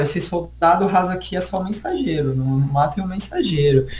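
A man speaks at a high pitch. Noticeable background noise and audible room echo are present. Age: 20s. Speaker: history teacher and researcher. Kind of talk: casual interview chat.

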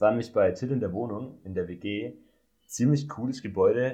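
Medium in pitch with ordinary pitch variation, a man speaks in a dark, mellow tone that is somewhat breathy. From Swabia, Germany. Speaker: podcast co-host, student. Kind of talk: casual chat.

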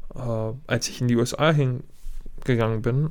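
A man speaks with a Serbian accent. His pitch is medium and his pace moderate. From Germany. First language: Serbian (speaking German). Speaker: professional basketball player. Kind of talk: podcast interview.

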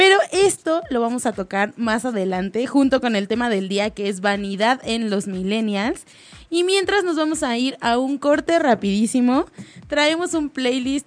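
The woman's pitch is high, with very wide swings. She speaks at a fairly slow pace. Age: young. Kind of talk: casual chat. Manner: animated.

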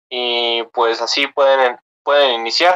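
There is no echo around this man's voice, which sounds dry and close. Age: 20s. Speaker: engineering student and crypto investor. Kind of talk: casual interview. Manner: halting.

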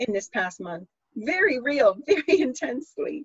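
Somewhat breathy female speech at a moderate pace. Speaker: podcast host. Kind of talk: casual chat with astrology talk.

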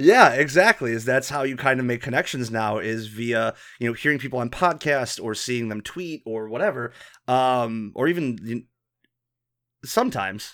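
Speaking in an ordinary speaking voice with an American accent, a man holds a medium pitch with ordinary pitch variation. He keeps a moderate pace on a very clean recording with a silent background. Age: 30s. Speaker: podcast host. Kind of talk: casual chat.

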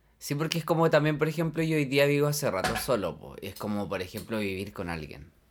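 With a Chilean accent, the speaker races along at a very fast pace with hardly any pauses, very wide pitch swings and big swings in loudness. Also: man, fairly high pitch for a man. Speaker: podcast co-host. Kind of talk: casual chat.

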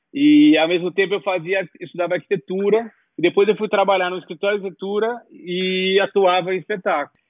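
Talking at a fairly quick pace, a man uses a high pitch with ordinary variation. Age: 40s. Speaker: set designer. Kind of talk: interview.

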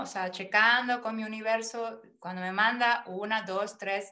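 This woman talks at a fairly slow pace with a fairly high pitch and fairly even intonation. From Mexico, Mérida, Yucatán. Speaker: personal development coach. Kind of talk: interview.

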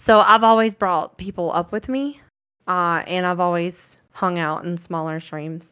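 A woman speaks with a Southern US accent. Her pace is fairly slow, with ordinary pitch variation. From US South, rural north Florida. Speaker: streamer. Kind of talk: casual chat.

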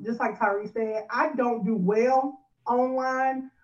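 In an American accent, a woman speaks at a high pitch with fairly even intonation. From California. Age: 20s. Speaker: pastor's wife and freelance marketer. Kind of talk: interview.

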